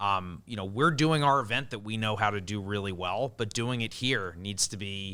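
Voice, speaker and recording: In a very clean recording with a silent background, a man with a Long Island accent speaks at a moderate pace with hardly any pauses, using a bright, sharp tone, a fairly low pitch and ordinary pitch variation. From Long Island, New York. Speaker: event organizer. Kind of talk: podcast interview.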